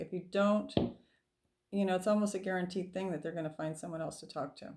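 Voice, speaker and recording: Soft-spoken, a woman talks in a dark, mellow tone with ordinary pitch variation. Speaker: tarot reader. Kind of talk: tarot reading.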